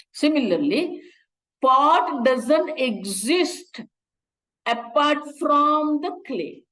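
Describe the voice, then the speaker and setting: In a room with audible echo, a woman speaks very slowly at a high pitch, her tone bright and sharp, with long, frequent pauses. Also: lively intonation. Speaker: Vedanta teacher. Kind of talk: lecture.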